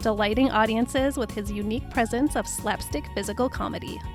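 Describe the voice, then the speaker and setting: Music plays in the background as a woman speaks. Her tone is upbeat and her pace fairly quick. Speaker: podcast host. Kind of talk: biographical podcast narration. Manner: upbeat, conversational.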